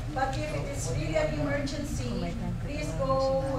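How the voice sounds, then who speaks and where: A woman speaks at a moderate pace. Loud background noise and audible room echo fill the recording. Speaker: prayer group member. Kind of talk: announcements. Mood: friendly, light humor. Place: hall. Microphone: camera far.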